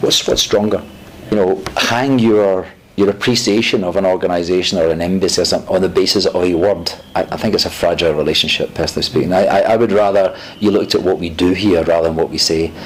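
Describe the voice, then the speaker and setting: Very fast, fairly even speech from a man with a fairly low pitch and a Scottish accent, against noticeable background noise. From Scotland. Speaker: UN diplomat. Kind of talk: interview. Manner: halting.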